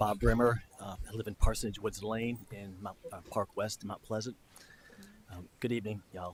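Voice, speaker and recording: Soft-spoken and somewhat breathy, a man talks at a moderate pace in a fairly low pitch, his loudness swinging widely. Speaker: public commenter, former town council member. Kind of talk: public comment at council meeting. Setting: council chamber with audience. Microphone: too quiet at first.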